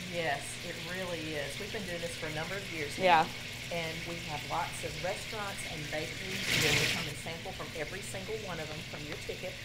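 A woman talks at a fairly quick pace. Loud background noise runs underneath. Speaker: guest. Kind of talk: interview answer. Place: studio. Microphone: lapel.

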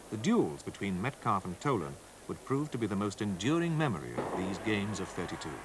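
Over background music, a man delivers lines in a dramatic tone at a fairly quick pace. His fairly low pitch swings very widely. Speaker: documentary narrator. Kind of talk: scripted sports-history documentary narration, read solemn and measured. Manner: formal, steady, dramatic, even-paced delivery.

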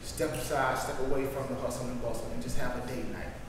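A man's monotone, flat delivery with strong room echo and noticeable background noise. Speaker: married couple participant. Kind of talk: group discussion. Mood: warm, encouraging. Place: meeting room. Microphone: camera far.

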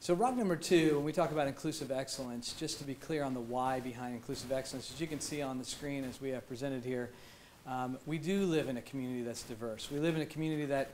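Light background noise sits under a man talking at a very fast pace with fairly even intonation. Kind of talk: formal presentation. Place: meeting room.

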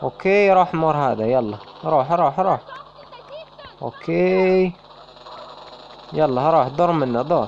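Amid noticeable background noise, a man with an Algerian accent talks very slowly, his pitch swinging very widely. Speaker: gaming YouTuber. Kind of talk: casual gameplay commentary.

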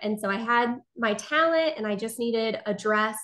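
A woman speaks at a fairly slow pace. Behind her, the background is quiet. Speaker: podcast guest. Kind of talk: interview answer. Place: home room. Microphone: video call.

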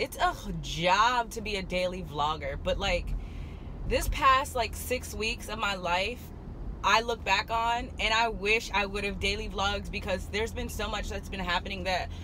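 A woman speaks at a moderate pace with ordinary pitch variation. Light background noise is present, and the sound is dry with no echo. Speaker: vlogger. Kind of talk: casual vlog chat. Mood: excited, upbeat. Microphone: phone near.

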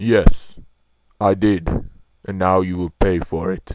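A man with a very deep, low pitch speaks fairly slowly in a monotone, flat intonation. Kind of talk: comic overacting. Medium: comedy sketch. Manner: menacing, gloating.

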